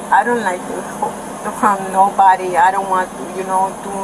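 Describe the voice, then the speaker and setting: At a fairly slow pace, a woman speaks at medium pitch amid noticeable background noise and audible room echo. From Nicaragua. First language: Spanish. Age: 20s. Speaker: detained woman at police scene. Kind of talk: police body cam confrontation. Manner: agitated, emotional.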